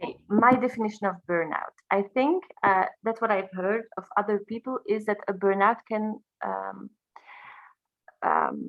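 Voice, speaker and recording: A woman speaks with a non-native accent at a medium pitch. Her pace is fairly slow and her intonation fairly even. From Belgium. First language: French. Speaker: high school teacher and singer. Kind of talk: interview. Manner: halting.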